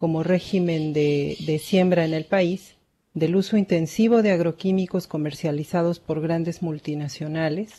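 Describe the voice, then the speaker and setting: A woman with a plain, everyday voice speaks at a fairly slow pace against a quiet background. Her pitch is fairly low and her intonation fairly even. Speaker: webinar moderator. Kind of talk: formal introduction. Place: home room. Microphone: webcam.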